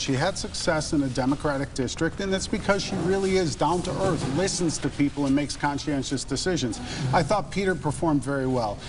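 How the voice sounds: A man speaks at a fairly quick pace with a fairly high pitch and ordinary pitch variation. Clear background noise is audible.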